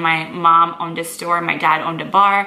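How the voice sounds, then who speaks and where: A woman with an American accent and a fairly low pitch speaks at a moderate pace with fairly even intonation, with audible room echo and noticeable background noise. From South Florida, US. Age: 20s. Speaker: fitness model and vlogger. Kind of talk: casual Q&A vlog.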